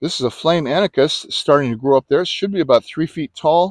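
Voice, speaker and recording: Moderate pacing from a man, a quiet background, dry sound without echo. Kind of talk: casual garden tour narration. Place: garden. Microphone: phone near.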